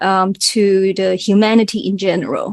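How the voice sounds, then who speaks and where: A woman with a strong Cantonese accent speaks at a moderate pace, the sound dry and close with no echo. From Hong Kong. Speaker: singer and math educator. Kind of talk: interview.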